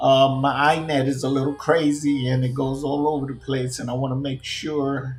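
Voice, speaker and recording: A man with a New York accent, fairly high pitch and monotone, flat intonation, at a moderate pace, with audible room echo and noticeable background noise. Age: 50s. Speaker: gaming streamer. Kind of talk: casual rant.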